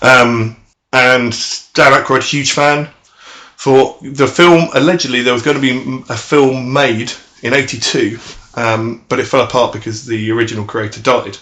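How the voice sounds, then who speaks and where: In a British accent, a man talks with fairly even intonation. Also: medium pitch for a man, moderate pace. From Britain. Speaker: podcast co-host. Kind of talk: casual chat.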